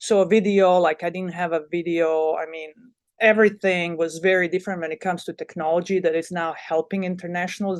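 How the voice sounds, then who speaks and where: In a Bosnian accent, a woman talks at a moderate pace with monotone, flat intonation. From Bosnia and Herzegovina. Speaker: college volleyball head coach. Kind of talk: podcast interview. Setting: podcast. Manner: halting, many fillers and repeats.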